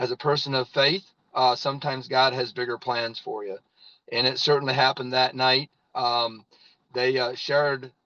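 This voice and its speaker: A man with an American accent speaks at medium pitch and a moderate pace, in a flat monotone. His tone is bright and sharp, and the sound is dry and close with no echo. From US Midwest, northern Indiana. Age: 50s. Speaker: network marketing leader, former farmer. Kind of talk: testimony. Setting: in a parked car.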